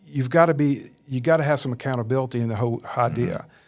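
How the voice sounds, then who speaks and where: A man with a Southern US accent speaks at a fairly quick pace with a medium pitch and ordinary pitch variation. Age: 60s. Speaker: churchgoer interviewed on faith podcast. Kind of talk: interview testimony.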